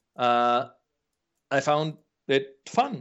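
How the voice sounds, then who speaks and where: A man speaks with a Polish accent. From Poland. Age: 40s. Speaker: game producer. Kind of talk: interview. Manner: halting.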